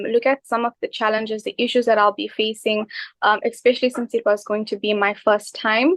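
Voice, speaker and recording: With a normal speaking voice, a woman speaks in a fairly high pitch and fairly even intonation. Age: 20s. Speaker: microbiologist and new property investor. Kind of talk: interview.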